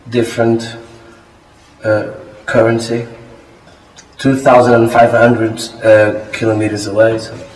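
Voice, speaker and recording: A man speaks at a moderate pace and a medium pitch, in a flat monotone with long, frequent pauses. Noticeable background noise and audible room echo fill the recording. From Portugal. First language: Portuguese. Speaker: exchange student. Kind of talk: interview.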